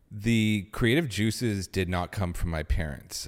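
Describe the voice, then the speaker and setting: An ordinary speaking voice with a Canadian accent and lively intonation speaks at a fairly slow pace in a very clean recording with a silent background. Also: man. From Canada, Ottawa. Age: 30s. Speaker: film director and studio co-founder. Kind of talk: casual chat. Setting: studio.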